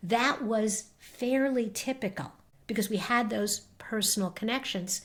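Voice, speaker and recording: The delivery is fairly slow. There is a somewhat breathy quality to the voice. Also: woman, fairly high pitch for a woman, ordinary pitch variation. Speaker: marketing agency owner and podcaster. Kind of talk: interview conversation. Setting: podcast interview.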